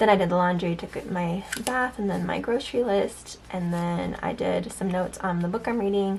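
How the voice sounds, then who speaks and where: Amid noticeable background noise, a woman of medium pitch talks with hardly any pauses and ordinary pitch variation. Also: moderate pace. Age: 30s. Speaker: planner vlogger. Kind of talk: casual planner flip-through vlog. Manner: halting, repeats words.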